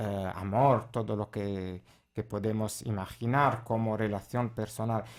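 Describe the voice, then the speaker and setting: A man's fairly low, flat, monotone voice with an Italian accent, at a fairly slow pace on a very clean recording with a silent background. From Italy. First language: Italian (speaking Spanish). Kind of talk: radio interview testimony. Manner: halting, many filler sounds.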